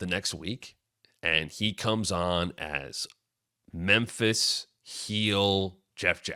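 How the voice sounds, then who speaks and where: Animated in tone, a man with an American accent speaks at a fairly low pitch with ordinary pitch variation. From US Northeast (northern New Jersey). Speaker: wrestling podcast host. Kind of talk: casual storytelling.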